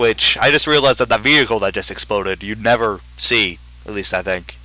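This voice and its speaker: A man's fairly low voice with ordinary pitch variation, music playing in the background. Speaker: gamer doing a let's play. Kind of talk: casual gameplay commentary. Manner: halting.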